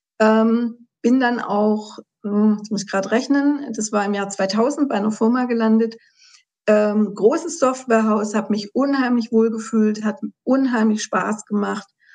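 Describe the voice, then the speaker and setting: Fairly high-pitched and fairly even in intonation, a woman speaks at a fairly slow pace in an unremarkable speaking voice. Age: 50s. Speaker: patient sharing her health story. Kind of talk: interview testimony.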